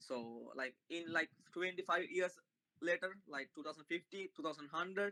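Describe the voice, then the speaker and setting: With a non-native accent, a man speaks at a moderate pace in a high pitch and a bright, sharp tone, using ordinary pitch variation, recorded with a dry, close sound and no echo. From Sri Lanka. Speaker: Buddhist passer-by. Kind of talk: street conversation. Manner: halting.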